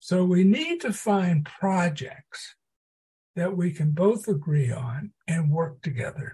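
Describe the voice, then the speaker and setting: A man's high, dark and mellow voice with an American accent, very slow in pace, with ordinary pitch variation. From US South, southeast Texas (Port Arthur). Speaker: psychology professor. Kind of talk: podcast interview.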